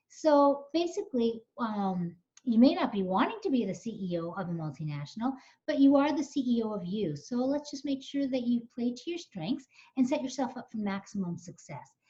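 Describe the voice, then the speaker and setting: A woman's high-pitched voice with a dark, mellow tone and very wide pitch swings. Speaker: coach and webinar presenter. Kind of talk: webinar presentation. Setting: online webinar. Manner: fast.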